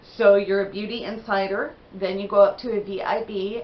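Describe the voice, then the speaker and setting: A woman's medium-pitched voice at a moderate pace, with fairly even intonation and noticeable background noise. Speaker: beauty vlogger. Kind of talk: casual haul video talk. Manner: chatty, conversational.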